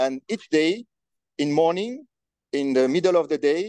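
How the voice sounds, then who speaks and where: With a dark, mellow tone, a man speaks at a fairly slow pace using lively intonation. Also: dry, close sound with no echo. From Senegal. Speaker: amateur weather forecaster. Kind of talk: interview. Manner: halting.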